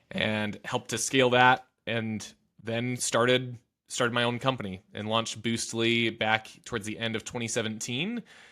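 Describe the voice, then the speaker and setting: On a very clean recording with a silent background, a man with an American accent speaks at a medium pitch and a moderate pace. His tone is bright and sharp, and his intonation is monotone and flat. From US Midwest, Southwest Michigan. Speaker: business founder and CEO. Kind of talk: interview conversation. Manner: stutter, repeats words.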